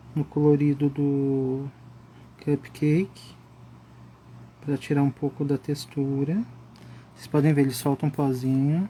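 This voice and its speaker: Calm and dark, mellow in tone, a man speaks at a fairly high pitch in a somewhat breathy, monotone voice with flat intonation. His pace is fairly slow, with long, frequent pauses and big swings in loudness. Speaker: art instructor. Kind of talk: live coloring tutorial. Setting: Instagram live stream.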